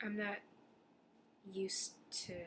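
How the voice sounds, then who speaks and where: The voice is quiet and moves at a moderate pace. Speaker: English teacher on exchange programme in Japan, video blogger. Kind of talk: casual video diary. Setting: apartment. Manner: hesitant, many fillers and restarts.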